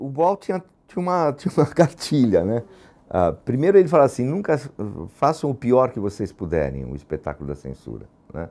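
A man's dark, mellow tone at a fairly quick pace, with big swings in loudness and very wide pitch swings. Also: medium pitch for a man. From São Paulo, Brazil (Lapa). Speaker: theatre actor and former activist. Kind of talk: testimony interview. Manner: halting, many repetitions and fillers.

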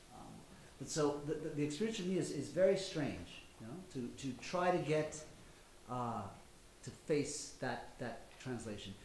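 In a room with audible echo and light background noise, a man with an American accent and a fairly high pitch speaks at a fairly slow pace, with lively intonation and big swings in loudness. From United States. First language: Spanish. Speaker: novelist. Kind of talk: panel discussion. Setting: live event with audience. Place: hall. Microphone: podium.

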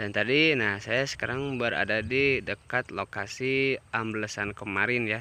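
This man's voice has a dry sound with no echo. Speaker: railfan vlogger. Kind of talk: casual vlog chat. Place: open country. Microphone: phone near.

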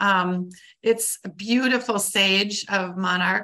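A woman with an Upper Midwest accent, a bright, sharp tone, and fairly even intonation, against a quiet background. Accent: Upper Midwest American. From Wisconsin (Clintonville). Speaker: conservation biologist. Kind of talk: lecture. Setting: video call. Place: home room. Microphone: webcam.

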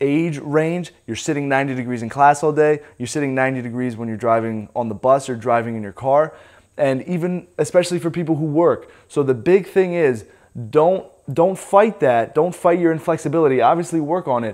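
A man at a moderate pace, with ordinary pitch variation and a quiet background. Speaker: fitness coach. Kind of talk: tutorial. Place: gym.

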